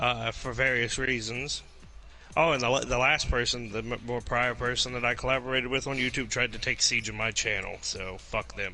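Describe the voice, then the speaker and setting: Music plays in the background while a man speaks at medium pitch and a fairly quick pace in a monotone, flat intonation. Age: 20s. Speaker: voice actor. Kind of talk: casual chat.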